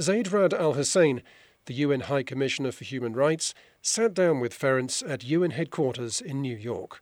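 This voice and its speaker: A man with a plain, everyday voice, fairly high in pitch, with ordinary pitch variation at a fairly quick pace, on a very clean recording with a silent background. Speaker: podcast host. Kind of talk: news reading.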